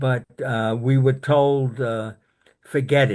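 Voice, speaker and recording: A man of medium pitch with a New York accent speaks at a very slow pace against a quiet background. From Brooklyn, New York. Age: 80s+. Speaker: war veteran. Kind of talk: interview. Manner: halting.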